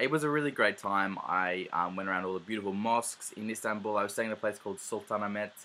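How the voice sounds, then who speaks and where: Here a man with an Australian accent speaks at a very fast pace. His fairly low voice has a bright, sharp tone. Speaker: travel vlogger. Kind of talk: casual vlog monologue. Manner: hesitant, many fillers.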